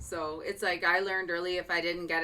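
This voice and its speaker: A woman with a fairly low-pitched voice talks over music in the background. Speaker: radio host interviewing a caller. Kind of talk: casual interview talk.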